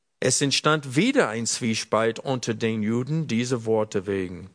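Here a man with a normal speaking voice talks at a fairly slow pace. His intonation is lively, and the background is quiet. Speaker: preacher. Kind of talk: sermon.

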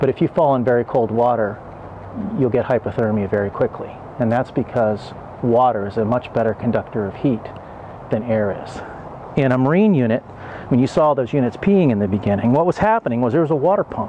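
Light background noise sits behind the speaker. A man talks at a fairly quick pace. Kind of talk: tutorial. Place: garden. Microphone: lapel.

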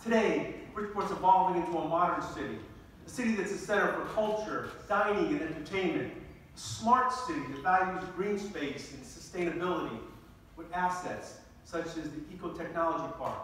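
A man with a high pitch speaks at a moderate pace with ordinary pitch variation and big swings in loudness, amid strong room echo and light background noise. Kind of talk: formal speech. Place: hall.

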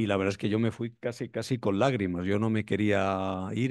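A man speaks at a moderate pace in a fairly low, monotone voice, the sound dry with no echo and the background quiet. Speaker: event moderator. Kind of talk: event moderation. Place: hall. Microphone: podium.

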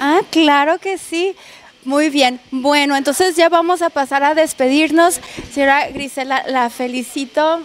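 Pitched high for a woman, her voice moves at a fairly slow pace in a dry recording with no echo. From northern Mexico (Baja California). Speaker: radio/video host. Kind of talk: on-location interview and restaurant tour. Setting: on location in a restaurant. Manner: animated. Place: cafe. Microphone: handheld.

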